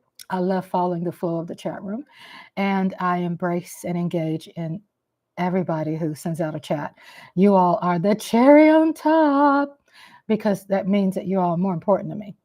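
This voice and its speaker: A woman of medium pitch with a Texas accent talks at a moderate pace with lively intonation against a quiet background. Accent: Southern US, Texas. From Kansas City, Missouri. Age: 50s. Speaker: live-stream host. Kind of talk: casual live-stream chat. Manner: animated.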